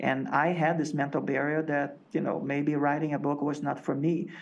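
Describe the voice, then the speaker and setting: A man's fairly high-pitched voice at a moderate pace, with audible room echo. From Latin America. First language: non-English. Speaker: agency executive and author. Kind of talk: interview.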